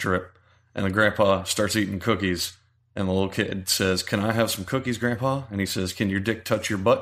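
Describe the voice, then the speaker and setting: Over a silent background in a very clean recording, a man speaks at a fairly low pitch with monotone, flat intonation. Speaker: podcast co-host. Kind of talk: casual chat. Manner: loud.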